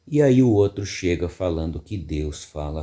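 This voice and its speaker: A man's dark, mellow voice, very slow, with lively intonation. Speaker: radio announcer. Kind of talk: casual reflective talk to camera.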